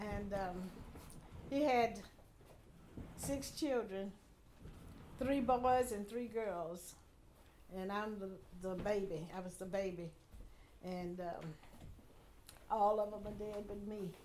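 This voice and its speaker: A woman with an American accent speaks very slowly at medium pitch, with long, frequent pauses. Her tone is dark and mellow, and there is audible room echo. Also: ordinary pitch variation. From Houston, Texas. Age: 80s+. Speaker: community elder. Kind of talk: oral history interview.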